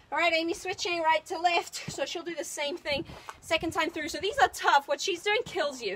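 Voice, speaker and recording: A woman talks in an extremely high pitch. Her pace is moderate and her pitch variation ordinary. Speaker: fitness trainer. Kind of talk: workout coaching. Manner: loud; energetic.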